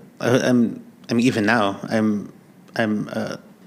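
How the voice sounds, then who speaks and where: Audible room echo surrounds a man's voice. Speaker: worship leader. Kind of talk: casual chat. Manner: stutter; halting.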